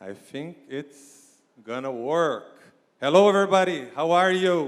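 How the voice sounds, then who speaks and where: With a Brazilian accent, a man talks with lively intonation and big swings in loudness, and the room echo is audible. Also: fairly high pitch for a man. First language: Portuguese. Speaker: marketing executive. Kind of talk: keynote speech. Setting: stage with audience. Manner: repetitive, hesitant phrasing.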